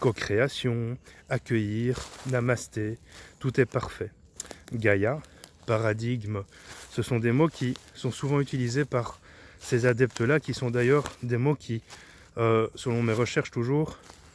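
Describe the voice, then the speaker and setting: A man talks at a very slow pace with long, frequent pauses. His medium-pitched voice keeps a fairly even intonation. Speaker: esoteric teacher / YouTuber. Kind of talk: spoken video monologue. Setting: outdoors in a forest. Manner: monotone.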